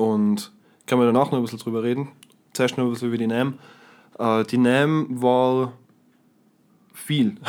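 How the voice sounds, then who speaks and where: With a Tyrolean accent, a man speaks at a moderate pace and medium pitch, with fairly even intonation and long, frequent pauses. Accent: Tyrolean Austrian German. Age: young. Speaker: guitarist and guitar teacher. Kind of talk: casual chat.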